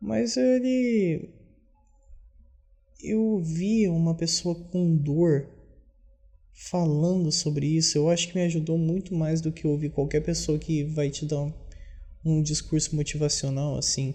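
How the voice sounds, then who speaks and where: Quietly and at a very slow pace, a man speaks at a fairly high pitch with long, frequent pauses as music plays in the background. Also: ordinary pitch variation. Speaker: video diarist. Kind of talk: personal video diary monologue. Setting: at home. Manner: quiet, subdued; halting, self-correcting.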